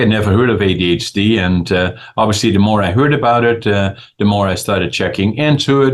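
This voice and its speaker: A man with a Dutch accent speaks with very even loudness. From Netherlands. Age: 80s+. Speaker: businessman and author. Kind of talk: interview. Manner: halting, many fillers.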